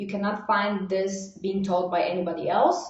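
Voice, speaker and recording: Audible room echo surrounds this voice. The speaker is a woman. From Bulgaria. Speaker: online marketing coach. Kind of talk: live webinar training. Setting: livestream. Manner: fast; animated.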